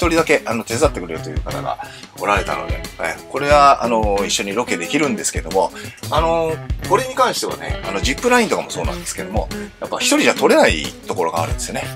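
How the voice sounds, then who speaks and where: A man talks at a very fast pace. Clear music plays in the background. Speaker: professional bass player. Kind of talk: casual talk to camera. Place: home room.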